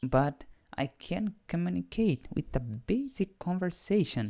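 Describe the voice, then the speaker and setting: In a Portuguese accent, the speaker talks at a very slow pace with a dark, mellow tone, on a very clean recording with a silent background and a dry, close sound with no echo. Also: man. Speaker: English learner and programming teacher. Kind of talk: live stream monologue. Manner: halting.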